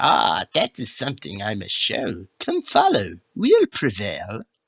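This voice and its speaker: Fairly slow pace in a put-on character voice. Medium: read story. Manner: quaintly formal.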